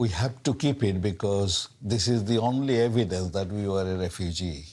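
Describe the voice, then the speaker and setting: On a very clean recording with a silent background, a man speaks at a moderate pace in a fairly low, somewhat breathy voice with ordinary pitch variation. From Bengal, India (now Bangladesh). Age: 70s. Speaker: retired doctor. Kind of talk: casual chat.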